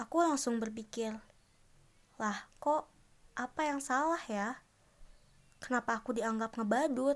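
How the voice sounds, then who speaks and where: In a very clean recording with a silent background, a woman talks at a moderate pace with a high pitch and ordinary pitch variation. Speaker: solo podcaster. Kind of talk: casual monologue.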